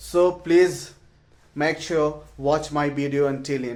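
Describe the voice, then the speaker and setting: A man with an Indian accent speaks at a fairly slow pace in a fairly high pitch for a man, his intonation monotone and flat. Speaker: English learner vlogger. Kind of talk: casual vlog. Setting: at home. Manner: halting.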